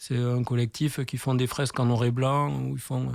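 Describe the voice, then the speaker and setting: In a very clean recording with a silent background, a man speaks at a moderate pace and a medium pitch, with a southwestern French accent. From southwestern France, Tarbes. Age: 40s. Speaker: graffiti artist. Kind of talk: radio interview. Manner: casual, hesitant with many fillers.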